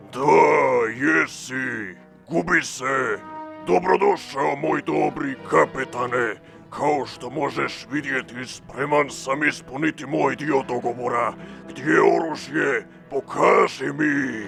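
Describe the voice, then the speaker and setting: Over clear music, a man at a medium pitch performs a put-on character voice. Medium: fan dub. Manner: imperious, sneering.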